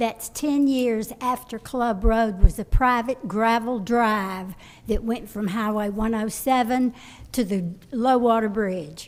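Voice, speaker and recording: At a very slow pace, a woman speaks in a fairly high pitch. Her intonation stays fairly even. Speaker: local resident. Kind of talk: public comment at city meeting. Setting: city planning commission meeting. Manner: loud.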